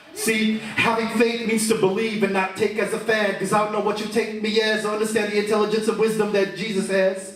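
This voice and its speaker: A man talks at a moderate pace with a high pitch. Noticeable background noise runs behind him. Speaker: spoken word poet. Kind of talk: spoken word poetry performance. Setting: live venue with audience.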